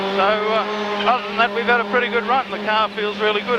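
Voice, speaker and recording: With an Australian accent, a man projects his voice in a raised, high-pitched monotone with flat intonation. Noticeable background noise and audible room echo surround him. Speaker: racing driver. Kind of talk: in-car radio interview.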